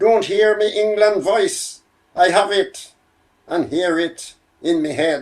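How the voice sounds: What we hear is a natural reading voice.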